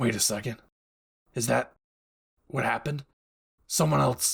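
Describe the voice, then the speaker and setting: At a moderate pace, a man does a raspy put-on character voice pitched at a medium level that has very wide pitch swings. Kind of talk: audio roleplay addressing the listener. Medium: role play. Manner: brash, profane.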